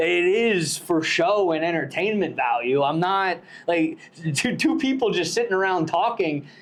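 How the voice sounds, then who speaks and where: An animated man with a high pitch, lively intonation, very even loudness and a moderate pace, against noticeable background noise. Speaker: podcast host. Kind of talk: casual chat.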